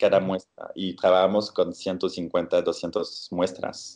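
A man with a French accent speaks at a very slow pace. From France, Bordeaux. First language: French (speaking Spanish). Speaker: scientist. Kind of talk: interview. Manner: halting.

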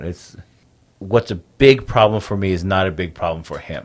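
A man with a Navajo Nation accent, very deep and low in pitch, at a fairly quick pace. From Navajo Nation, US Southwest. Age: 30s. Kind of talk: interview conversation, storytelling.

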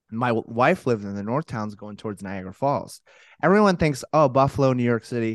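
With an American accent, a man talks at a fairly quick pace in an animated tone, his intonation lively and his loudness swinging widely. The sound is dry and close with no echo, over a quiet background. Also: medium pitch for a man. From Colorado. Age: 20s. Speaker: podcast host. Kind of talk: casual interview as guest.

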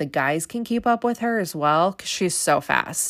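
Here a woman speaks at a moderate pace. The recording is very clean, with a silent background. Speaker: reality TV recap podcaster. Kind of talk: casual recap monologue. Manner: excitable, enthusiastic.

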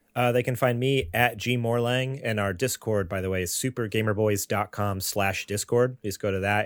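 A man with a normal speaking voice and a fairly low pitch speaks with ordinary pitch variation, the sound dry and close with no echo on a very clean recording with a silent background. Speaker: gaming podcast co-host. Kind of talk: casual chat.

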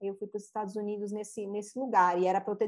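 This voice belongs to a woman. It sits at a medium pitch. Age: 40s. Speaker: therapist and mandala artist. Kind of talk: interview.

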